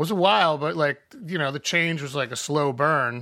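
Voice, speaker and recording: Bright and sharp in tone, a man's voice sits at a fairly high pitch. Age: 40s. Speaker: musician. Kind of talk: casual chat.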